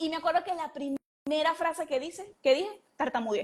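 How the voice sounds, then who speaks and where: This is a woman speaking with a high pitch. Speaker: entrepreneur and mentor. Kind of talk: interview. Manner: hesitant, with repetitions.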